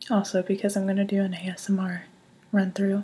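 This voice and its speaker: A woman whispers in a somewhat breathy voice. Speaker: youtuber. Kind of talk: ASMR trial. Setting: home recording on laptop. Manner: whispering.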